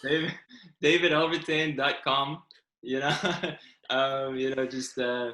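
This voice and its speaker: A man with a fairly high pitch and a bright, sharp tone speaks slowly in a monotone, flat way, leaving long, frequent pauses. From South Africa, then raised in Toronto, Canada. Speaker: novelist. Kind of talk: interview.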